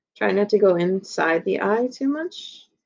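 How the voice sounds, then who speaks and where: The background is quiet. A woman talks fairly slowly. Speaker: elementary school art teacher. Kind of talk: tutorial.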